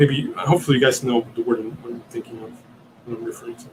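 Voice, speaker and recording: Noticeable background noise accompanies a man at a fairly quick pace. His medium pitch shows ordinary variation. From Italy. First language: Italian. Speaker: podcast host. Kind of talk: live Q&A stream. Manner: halting, many fillers and repeats.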